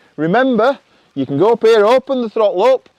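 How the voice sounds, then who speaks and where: A Yorkshire accent with very wide pitch swings. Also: man, dry, close sound with no echo. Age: old. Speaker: motorcycle trials coach. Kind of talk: riding tutorial.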